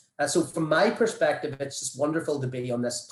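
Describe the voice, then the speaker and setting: A man with an Irish accent, fairly high in pitch, somewhat breathy, with ordinary pitch variation. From Ireland. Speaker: vaccine researcher. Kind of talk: panel presentation.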